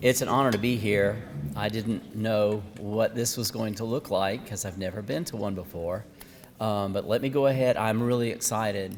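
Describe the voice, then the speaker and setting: Amid noticeable background noise, a man talks at a moderate pace in a fairly low pitch with ordinary pitch variation. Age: 60s. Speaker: student presenter, dialysis technician. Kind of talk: student presentation.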